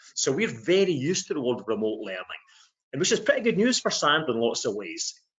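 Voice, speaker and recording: A man with a Scottish accent and very wide pitch swings. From Scotland. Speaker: sales trainer. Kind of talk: webinar discussion.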